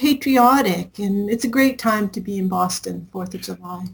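Here a woman speaks with an American accent. Her voice is fairly high and somewhat breathy. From Southern California, Anaheim. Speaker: music professor and former recording engineer. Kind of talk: interview.

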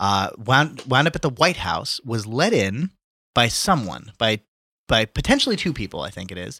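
Speaking at a moderate pace in a bright, sharp tone, a man at medium pitch makes very wide pitch swings and big swings in loudness, on a very clean, dry, close recording with a silent background and no echo. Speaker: podcast co-host. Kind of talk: casual political banter. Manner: swears often, conversational.

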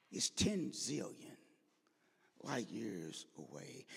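With an American accent and vocal fry, a man speaks in an animated tone. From St. Louis, US Midwest. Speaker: preacher. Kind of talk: sermon. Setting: church. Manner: animated, conversational.

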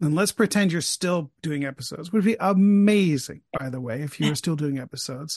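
A man with an unremarkable speaking voice and a fairly high pitch talks at a fairly quick pace with lively intonation and hardly any pauses, in a dry, close sound with no echo and a quiet background. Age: 50s. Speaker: podcaster interviewing the host. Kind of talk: casual interview chat.

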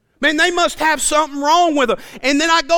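The voice is raised and projected, with an animated, bright, sharp tone at a fairly quick pace. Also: man. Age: 40s. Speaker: preacher. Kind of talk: sermon. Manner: animated, repetitive stammering.

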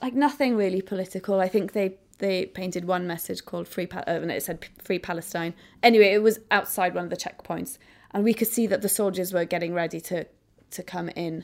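A woman with a Welsh accent talks at a fairly quick pace, with medium pitch and ordinary pitch variation. Her vocal fry comes through in a very clean recording with a silent background. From Wales. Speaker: photographer. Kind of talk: interview.

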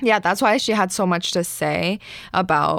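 In a very clean recording with a silent background, a woman speaks fairly slowly at a fairly low pitch. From Asia, immigrated to Canada. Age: 20s. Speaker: stand-up comedian. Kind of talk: casual interview chat. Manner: low energy, mousy.

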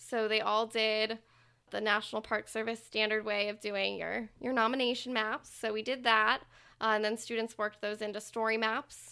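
The recording is very clean, with a silent background. A woman with an American accent speaks at a moderate pace in a fairly high, bright, sharp voice with monotone, flat intonation. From Texas, Dallas suburbs. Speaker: historic preservation specialist. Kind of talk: interview.

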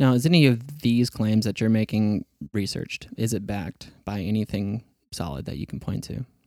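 A man with a fairly low voice speaks at a moderate pace with lively intonation and a dark, mellow tone, recorded very cleanly with a silent background and a dry, close sound with no echo. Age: 30s. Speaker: podcast host. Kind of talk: casual interview chat. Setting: studio.

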